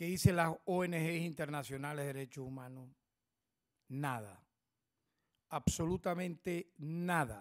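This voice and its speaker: Speaking at a very slow pace, a man leaves long, frequent pauses against a quiet background. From Venezuela. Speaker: public prosecutor. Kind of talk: press conference statement. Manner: formal. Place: meeting room. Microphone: podium.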